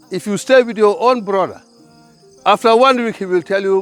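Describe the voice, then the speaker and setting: A man talks at a moderate pace in a high voice. Music plays in the background. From The Gambia. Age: 60s. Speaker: farmer. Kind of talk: interview. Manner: repetitive, stammering on words.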